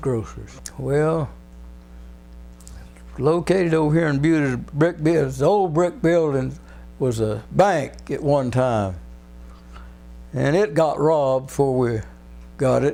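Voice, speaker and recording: Music plays in the background as a man with an American accent speaks. His pace is fairly slow, with long, frequent pauses. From Texas, Buda. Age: 90s. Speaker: retired fireman and grocery store operator. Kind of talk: oral history interview answer.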